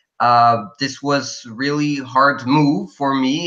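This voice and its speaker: A man speaks at a very slow pace with a non-native accent, his pitch medium. His tone is bright and sharp, and his intonation fairly even. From Belgium. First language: not English. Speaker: college student. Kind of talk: interview. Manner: halting.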